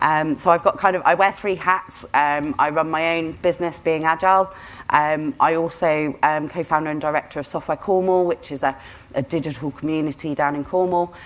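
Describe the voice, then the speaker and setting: Someone with a British accent talks at a fairly quick pace with fairly even intonation. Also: woman, fairly low pitch for a woman. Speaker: business consultant and author. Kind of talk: conference talk. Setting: stage at a conference. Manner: loud.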